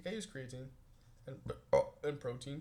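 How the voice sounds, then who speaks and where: Somewhat breathy, dark and mellow, a man at medium pitch. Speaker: vlogger. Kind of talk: casual video journal. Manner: fast.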